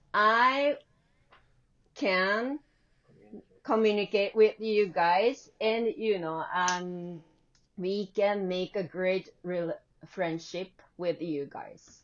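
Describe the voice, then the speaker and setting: A woman with a Japanese accent speaks at a very slow pace, leaving long, frequent pauses. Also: medium pitch for a woman, ordinary pitch variation. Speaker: English teacher. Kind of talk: casual interview. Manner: halting.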